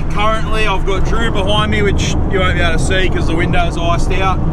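A man is heard over loud background noise. The sound is dry with no echo. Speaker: amateur racer vlogger. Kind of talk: casual vlog chat. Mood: cheerful, joking. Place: car. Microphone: camera far.

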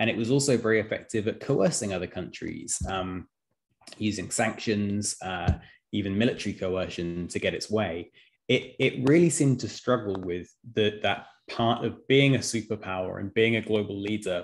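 Against a quiet background, a man speaks in a normal speaking voice at a moderate pace. His pitch is fairly low, with ordinary pitch variation. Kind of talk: lecture. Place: home room.

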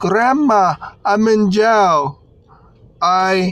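The sound is dry with no echo as a man speaks over light background noise. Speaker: driver vlogger. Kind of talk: casual vlog storytelling. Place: car. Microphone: phone near.

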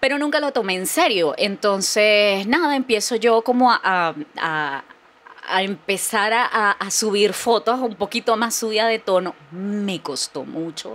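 This woman's voice is fairly high in pitch with lively intonation. She talks at a very slow pace. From Venezuela, Barquisimeto. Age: 40s. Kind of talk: casual chat.

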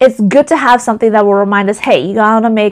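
Very fast delivery with fairly even intonation against a quiet background. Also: woman. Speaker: direct sales representative. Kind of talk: casual vlog chat. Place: home room. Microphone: lapel.

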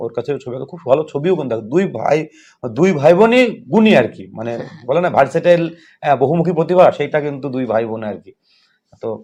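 A man's fairly high-pitched voice with a dark, mellow tone, lively intonation and big swings in loudness against a quiet background. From West Bengal, Nadia district (Karimpur). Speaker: school teacher and podcast interviewer. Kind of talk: casual interview.

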